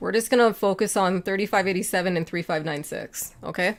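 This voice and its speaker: A woman talks at a medium pitch. Her pitch varies in an ordinary way while music plays behind her. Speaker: futures trading analyst. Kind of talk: market analysis tutorial. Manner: fast.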